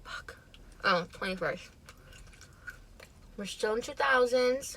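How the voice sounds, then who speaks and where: A woman with an American accent, lively intonation and a moderate pace, against noticeable background noise. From Chicago, northwest side. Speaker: mukbang vlogger. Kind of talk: casual storytime while eating.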